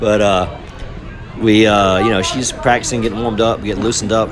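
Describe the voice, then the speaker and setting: A man talking at a fairly quick pace, with crowd noise behind him and audible room echo. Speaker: youth softball parent and video creator. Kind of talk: casual commentary over game footage. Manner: unscripted, hesitant with fillers.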